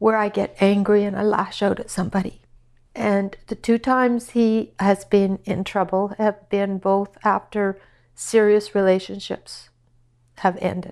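Against a quiet background, a woman speaks at a fairly slow pace in a Canadian Prairies accent. Her medium-pitched voice has monotone, flat intonation. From Saskatchewan, Canada. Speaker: mother of a prisoner. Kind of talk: personal interview testimony.

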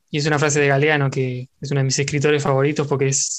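Against a quiet background, a man in a Rioplatense accent talks at a fairly quick pace in a fairly high, monotone, flat voice. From Argentina. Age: 20s. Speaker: podcaster. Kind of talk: casual chat.

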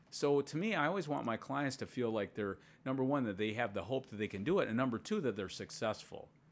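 A man with an ordinary speaking voice, medium pitch, lively intonation and a fairly quick pace, on a very clean recording with a silent background. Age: 60s. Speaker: strength coach. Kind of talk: casual chat.

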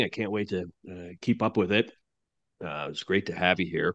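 A man with an ordinary speaking voice talks fairly quickly in a fairly low pitch. His pitch varies in an ordinary way, and the background is quiet. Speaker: podcast host and analyst. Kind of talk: interview, conversational.

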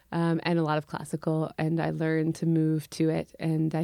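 With an American accent, a woman speaks in a very deep, low pitch with a dark, mellow tone, the sound dry and close with no echo. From US Midwest, Urbana, Illinois. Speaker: musician. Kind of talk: casual chat.

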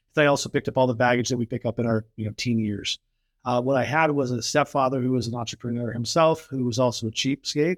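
Speaking at a very fast pace, a man with an American accent keeps a medium pitch and fairly even intonation, in a dry, close sound with no echo. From California. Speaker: entrepreneur. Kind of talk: casual chat.

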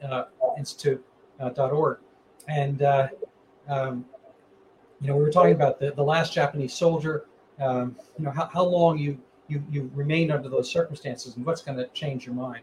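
A man with an American accent speaks at a moderate pace in a fairly high pitch, his intonation fairly even, with long, frequent pauses. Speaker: podcast host and physician. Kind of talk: interview. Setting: video call. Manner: halting, many fillers.

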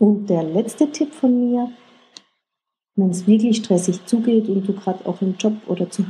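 A woman speaks fairly slowly in a dark, mellow, somewhat breathy voice. Her pitch varies in an ordinary way. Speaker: online coach giving stress-relief tips. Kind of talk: casual self-help tutorial.

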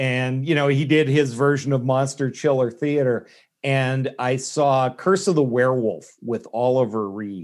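At a fairly slow pace, a man uses a plain, everyday voice, with medium pitch and ordinary pitch variation. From Canada. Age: 50s. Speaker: novelist and former stand-up comic. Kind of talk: casual interview chat.

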